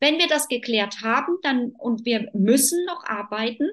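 A woman's high-pitched voice at a fairly slow pace, with very wide pitch swings. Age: 40s. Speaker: decision-making expert and business consultant. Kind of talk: interview.

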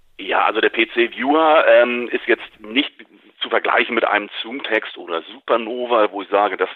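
Speaking at a moderate pace, a man talks with a northern German accent. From northern Germany. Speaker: assistive technology company representative. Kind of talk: product interview. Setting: phone call.

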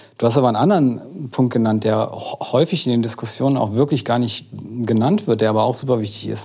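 In a plain, everyday voice, a man talks at a fairly quick pace with medium pitch and ordinary pitch variation. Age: 40s. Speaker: agile coach. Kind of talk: casual chat.

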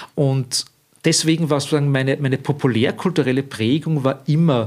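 A man's plain, everyday voice, fairly high in pitch, at a moderate pace with ordinary pitch variation. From Austria, Lower Austria (Weinviertel, Stockerau). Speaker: filmmaker and artist. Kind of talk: interview conversation.

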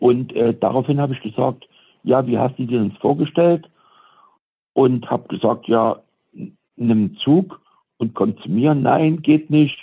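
Man at medium pitch with ordinary pitch variation, fairly slow pace and long, frequent pauses. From Saxony, Ore Mountains (eastern Germany). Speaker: teacher sharing personal experience. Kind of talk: testimony. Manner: halting.

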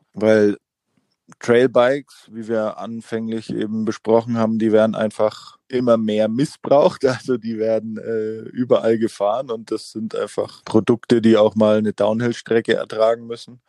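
A dark, mellow tone moves at a fairly slow pace with monotone, flat intonation, in a dry, close sound with no echo. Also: man, medium pitch for a man. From Franconia, Fichtelgebirge (Bavaria, Germany). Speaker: bicycle frame designer. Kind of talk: interview.

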